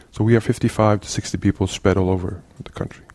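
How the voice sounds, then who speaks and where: With a Norwegian accent, a man talks at a fairly quick pace. His tone is dark and mellow, his intonation fairly even. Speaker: CTO of an educational resources organisation. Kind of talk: interview. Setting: in person in Oslo. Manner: halting.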